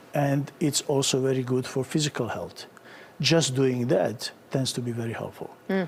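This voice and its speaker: A man's fairly high voice with a Bosnian accent. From Bosnia and Herzegovina. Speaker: psychiatrist. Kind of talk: TV interview answer.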